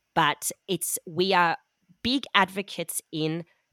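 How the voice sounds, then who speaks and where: A woman speaks with an Australian accent and fairly even intonation, recorded very cleanly against a silent background with a dry, close sound and no echo. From Melbourne, Australia. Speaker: business co-founder. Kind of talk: casual interview.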